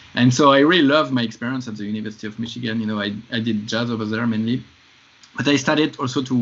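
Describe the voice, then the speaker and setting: A man talks at a very fast pace with a French accent and medium pitch. His intonation is fairly even, and there is noticeable background noise. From France. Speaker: film composer. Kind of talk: podcast interview.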